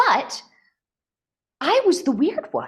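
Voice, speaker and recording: A woman with a Californian accent speaks in an animated tone, her pitch swinging very widely. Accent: General American, Californian. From US West, northern California. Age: 40s. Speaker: mental health coach. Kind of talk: podcast interview.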